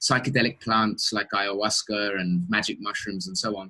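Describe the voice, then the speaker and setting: This is a man with an English accent. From England. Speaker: interviewer. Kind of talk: interview. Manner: halting, many repetitions.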